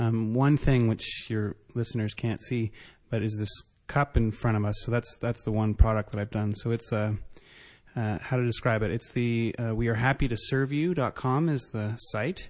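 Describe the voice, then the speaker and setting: A man with a Canadian accent talks at medium pitch and a moderate pace against a quiet background. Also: fairly even intonation. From Canada. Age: 30s. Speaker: entrepreneur. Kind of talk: interview. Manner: halting, many fillers.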